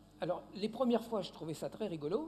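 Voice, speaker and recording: A man speaks at a moderate pace with a high pitch. His voice makes very wide pitch swings. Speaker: linguist, lecturer. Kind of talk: Q&A after a lecture. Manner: hesitant, repeats words.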